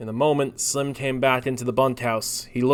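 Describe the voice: The clip is plain reading aloud. Its intonation stays fairly even.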